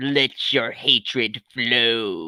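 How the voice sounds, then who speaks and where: A man of medium pitch performs in a put-on character voice. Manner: menacing.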